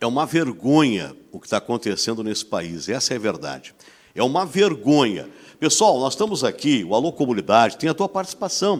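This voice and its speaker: A man's medium pitch with vocal fry, very wide pitch swings, big swings in loudness and a fairly quick pace. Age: 60s. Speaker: TV host. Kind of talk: talk show discussion. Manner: animated.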